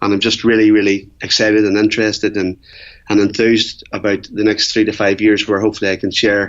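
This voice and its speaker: Fairly quick speech with an Irish accent and monotone, flat intonation. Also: man. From Ireland. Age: 40s. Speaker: Ironman athlete and entrepreneur. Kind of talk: interview.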